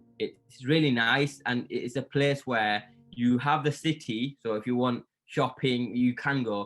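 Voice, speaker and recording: A man's medium-pitched voice in a Yorkshire accent, fairly slow in pace, with music in the background. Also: fairly even intonation. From northern England, Yorkshire. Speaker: content creator. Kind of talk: interview. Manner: hesitant, many fillers and repeats.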